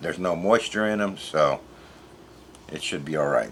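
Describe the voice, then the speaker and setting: A man speaks at a moderate pace. His voice is very deep and low. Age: 50s. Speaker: home food preserver and video creator. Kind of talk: tutorial. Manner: casual, conversational.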